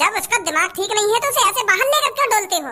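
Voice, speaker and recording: In a cartoonish character voice, a woman squeaks out her words at a very fast pace and an extremely high pitch. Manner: indignant, lecturing.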